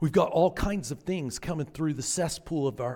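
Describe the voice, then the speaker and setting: The intonation is lively. A man speaks at a moderate pace. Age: 40s. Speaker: pastor. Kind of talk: sermon. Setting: church.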